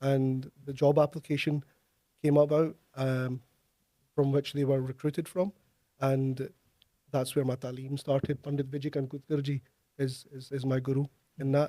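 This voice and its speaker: A man with a Glaswegian accent speaks at a moderate pace in a fairly high, dark and mellow voice, flat and monotone, with long, frequent pauses and a dry, close sound with no echo. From Scotland, Glasgow. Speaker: tabla player and music lecturer. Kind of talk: interview. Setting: studio.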